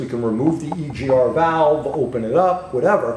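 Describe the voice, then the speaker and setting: A fairly high-pitched man with a New York accent, lively intonation and a moderate pace, in audible room echo. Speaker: automotive technical trainer. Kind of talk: technical webcast demonstration.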